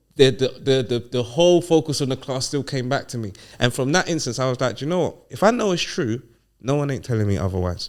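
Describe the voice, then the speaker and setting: A man with a London accent talks very fast at a medium pitch, his intonation lively. The recording is very clean, with a silent background. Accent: London multicultural English. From London, England (Ghanaian heritage). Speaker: podcast guest. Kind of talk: casual chat. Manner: animated.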